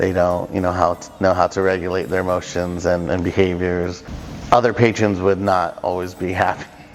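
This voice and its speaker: A man with an American accent speaks at a moderate pace in a very deep, low voice and a flat monotone, with music playing in the background. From Southern California. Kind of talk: interview answer. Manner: casual, hesitant with fillers.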